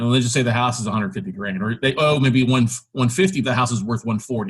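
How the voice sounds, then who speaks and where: Somewhat breathy, a man speaks at medium pitch and a fairly quick pace. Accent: American. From South Texas. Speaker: real estate investor and podcast host. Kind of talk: podcast interview.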